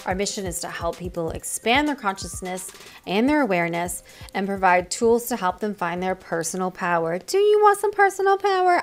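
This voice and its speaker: There is noticeable background noise as a woman talks fairly quickly. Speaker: podcast host. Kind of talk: show intro.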